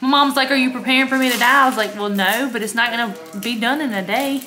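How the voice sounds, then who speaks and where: Over noticeable background noise, a woman talks very fast in a raised, projected voice with fairly even intonation. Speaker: vlogger. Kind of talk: casual vlog chat. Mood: cheerful, chatty. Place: home room. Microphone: phone near.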